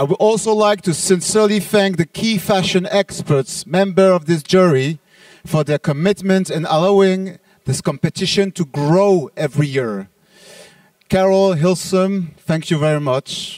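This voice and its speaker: A man with a French accent, high-pitched for a man, at a moderate pace with ordinary pitch variation, in a dry, close sound with no echo. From France. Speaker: trade show organizer. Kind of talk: closing speech.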